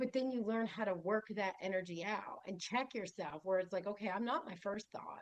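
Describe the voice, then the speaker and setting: A woman at a medium pitch and moderate pace, with ordinary pitch variation. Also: hardly any pauses. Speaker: yoga teacher. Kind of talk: group discussion.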